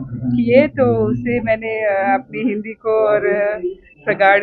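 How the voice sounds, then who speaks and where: A woman speaks with a Sri Lankan accent. There is noticeable background noise. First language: Sinhala (speaking Hindi). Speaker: Hindi teacher and award recipient. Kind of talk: interview. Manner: halting.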